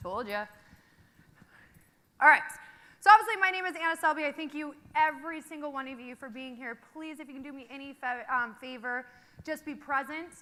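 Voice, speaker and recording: Raised and projected, a woman's high-pitched voice has a bright, sharp, energetic tone, big swings in loudness, ordinary pitch variation, a fairly quick pace, and long, frequent pauses. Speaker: company founder and social media director. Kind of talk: conference keynote. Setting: stage with audience.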